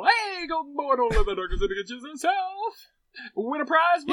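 In a put-on character voice, the speaker talks at a moderate pace with a high pitch and very wide pitch swings. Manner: showy, teasing.

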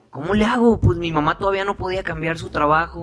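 Noticeable background noise accompanies a man speaking. He talks at a fairly quick pace with ordinary pitch variation. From Sinaloa, Mexico (Guasave). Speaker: actor and singer. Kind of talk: interview.

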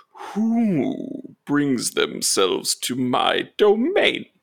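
Using a put-on character voice, a man speaks extremely high and at a very slow pace. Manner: commanding.

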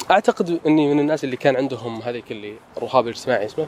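A man speaks at a fairly high pitch over noticeable background noise. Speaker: architect and artist. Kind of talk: casual chat. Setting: walking in a garden. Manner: conversational, hesitant with fillers.

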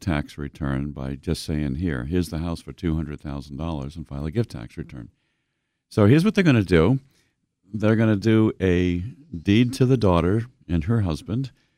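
With an American accent and a dark, mellow tone, the speaker uses lively intonation at a moderate pace on a very clean recording with a silent background. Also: man. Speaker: financial radio show host. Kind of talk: radio talk show. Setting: radio studio.

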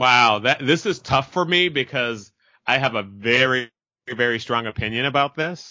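A man speaks at a moderate pace with a Californian accent. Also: medium pitch for a man, ordinary pitch variation. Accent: Californian American. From Merced, California (Central Valley). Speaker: actor and podcaster. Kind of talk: interview. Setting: phone call.

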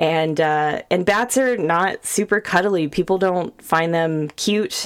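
With an American accent, a woman speaks in a fairly low pitch with fairly even intonation in a very clean recording with a silent background. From Sacramento, California. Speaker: podcast host. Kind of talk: casual interview.

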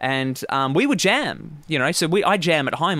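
A man speaks with an Australian accent. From Phillip Island, Victoria, Australia. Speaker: guitar teacher. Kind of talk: casual interview chat.

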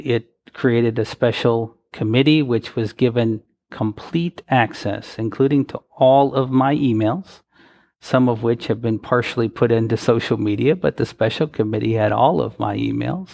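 An ordinary speaking voice from a man, medium in pitch with ordinary pitch variation, at a moderate pace on a very clean recording with a silent background. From US Midwest, Wisconsin. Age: 40s. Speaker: advocacy organization president. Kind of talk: interview.

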